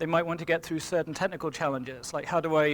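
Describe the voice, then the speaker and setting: Here is a man with an English accent. His pitch is fairly high. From England. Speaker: engineering manager. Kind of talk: seminar talk. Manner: hesitant, many fillers.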